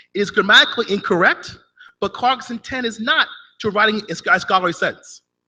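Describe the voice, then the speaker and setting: A man's raised, projected voice, bright and sharp in tone, at a fairly quick pace. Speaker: conference presenter. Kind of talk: academic paper presentation. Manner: fast.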